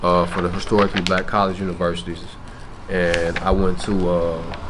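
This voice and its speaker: A man talks at a moderate pace in a Memphis accent. The room echo is audible, and background noise is noticeable. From US South, Memphis. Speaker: rapper. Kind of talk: interview. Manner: casual, slangy.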